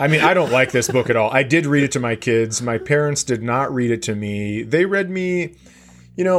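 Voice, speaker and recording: A man talks at a moderate pace in an unremarkable speaking voice. His intonation is lively. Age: 40s. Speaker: comedian. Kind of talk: casual chat.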